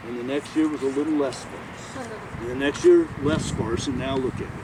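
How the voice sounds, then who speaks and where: A man is speaking while noticeable noise carries on in the background. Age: 60s. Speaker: arborist teaching a class. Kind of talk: outdoor walking class talk. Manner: casual, halting with fillers.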